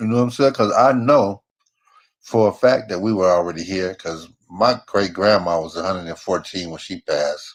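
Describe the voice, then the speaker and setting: With an American accent and a plain, everyday voice, a man speaks at a moderate pace in a fairly low pitch, his loudness swinging widely. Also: ordinary pitch variation. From San Francisco Bay Area, California. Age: 60s. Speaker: caller. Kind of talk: casual chat.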